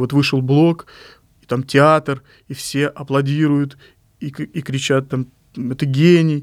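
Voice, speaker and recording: On a very clean recording with a silent background, a man talks at a fairly high pitch with fairly even intonation. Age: 40s. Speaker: poet and publishing editor. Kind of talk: interview monologue.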